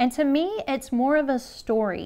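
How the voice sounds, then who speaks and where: The woman speaks with ordinary pitch variation. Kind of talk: tutorial. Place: studio.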